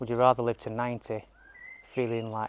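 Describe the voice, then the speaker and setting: In dry, close sound with no echo, a man delivers his lines monotone and flat at a moderate pace. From Yorkshire, northern England. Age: 50s. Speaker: lifestyle vlogger. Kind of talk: casual vlog monologue. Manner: rambling, hesitant with fillers.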